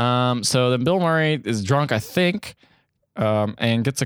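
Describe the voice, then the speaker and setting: In a very clean recording with a silent background and a dry, close sound with no echo, a man of medium pitch speaks at a very slow pace with lively intonation. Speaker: podcast host. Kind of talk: casual comedic chat.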